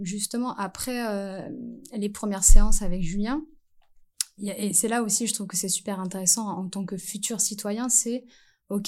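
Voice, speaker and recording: With an unremarkable speaking voice, a woman talks at a medium pitch and moderate pace with fairly even intonation against a quiet background. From French Antilles. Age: 30s. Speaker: primary school teacher. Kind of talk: casual interview.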